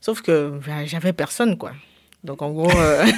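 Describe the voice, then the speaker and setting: This is a woman speaking. Her pace is moderate. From Cameroon. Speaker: DJ and media founder. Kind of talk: casual interview. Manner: halting.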